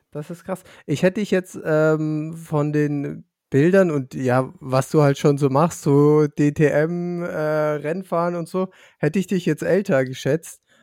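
Recorded with a dry, close sound and no echo, a man talks at a very slow pace. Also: very clean recording, silent background. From Lower Franconia, Germany. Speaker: podcast co-host. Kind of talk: casual interview.

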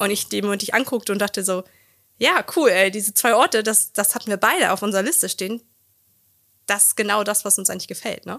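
A woman's medium-pitched, bright, sharp voice at a very fast pace, with fairly even intonation and a dry, close sound with no echo. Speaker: couples therapist and coach. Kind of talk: casual chat.

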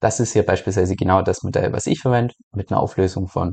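Very fast and fairly even in intonation, a man talks in a very deep, low pitch with a dark, mellow tone. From Germany. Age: 30s. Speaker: crypto YouTuber and podcaster. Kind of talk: casual Q&A monologue.

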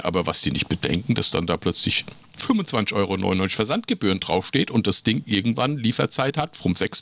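A plain, everyday voice from a man, medium in pitch, with lively intonation at a moderate pace. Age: 50s. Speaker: podcast co-host. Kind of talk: casual chat.

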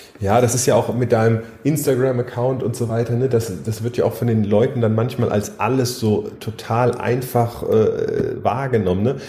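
Man's medium-pitched voice at a moderate pace with hardly any pauses and fairly even intonation, amid noticeable background noise. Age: 30s. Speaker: triathlete and coach. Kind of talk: casual chat.

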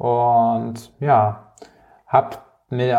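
The speaker is a man with a medium pitch. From Palatinate, Germany. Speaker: community founder and keynote speaker. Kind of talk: interview.

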